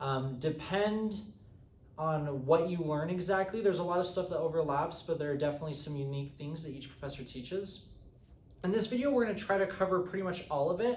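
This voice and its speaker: Amid noticeable background noise and audible room echo, a man talks at a fairly quick pace with a high pitch. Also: ordinary pitch variation. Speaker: economics teaching assistant. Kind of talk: lecture. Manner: fast; halting, many fillers.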